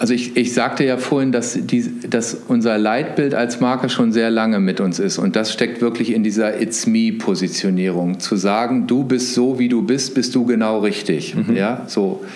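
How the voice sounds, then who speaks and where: A man with a medium pitch talks with lively intonation, very even loudness and hardly any pauses. Noticeable background noise and audible room echo fill the recording. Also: moderate pace. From northern Germany, suburb of Hannover. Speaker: marketing executive. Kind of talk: interview.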